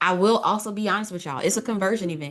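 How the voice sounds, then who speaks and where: A woman speaks with ordinary pitch variation. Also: quiet background. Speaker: business coach and online creator. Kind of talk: casual livestream talk. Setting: social media livestream. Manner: loud, yelling at times; animated, informal.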